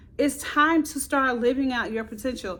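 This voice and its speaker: A loud, animated tone. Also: woman. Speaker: motivational video creator. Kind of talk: motivational talk to camera.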